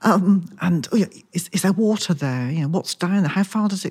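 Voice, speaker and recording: On a very clean recording with a silent background, a woman with a fairly low pitch and a somewhat breathy voice speaks at a moderate pace. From Wiltshire, southwest England. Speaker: crime novelist. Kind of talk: casual interview.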